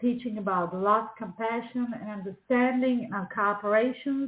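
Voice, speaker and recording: A woman's fairly high voice with fairly even intonation and a Czech accent. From Czechoslovakia. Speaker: children's book author and illustrator. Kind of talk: radio interview. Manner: halting, many fillers.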